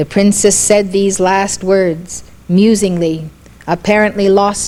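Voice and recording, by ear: The intonation stays fairly even. Someone reads aloud in a natural voice.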